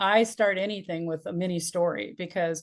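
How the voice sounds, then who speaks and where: An ordinary speaking voice with fairly even intonation, over a quiet background. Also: woman. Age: 60s. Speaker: business and life strategist, speaker coach. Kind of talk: podcast interview.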